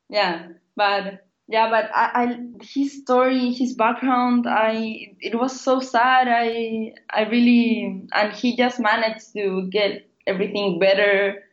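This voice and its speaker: A woman's fairly high voice with a Spanish accent, fairly even intonation, very even loudness and a very slow pace. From Chile. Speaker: biotech startup founder. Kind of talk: interview. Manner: halting.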